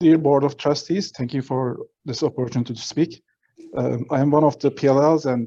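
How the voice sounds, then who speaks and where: At a fairly quick pace, a man speaks with a non-native accent and a medium pitch. His tone is dark and mellow, his intonation fairly even. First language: not English. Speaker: public commenter, provisionally licensed attorney. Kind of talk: public comment at board meeting. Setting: remote meeting, mic enabled by host. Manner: halting, many fillers.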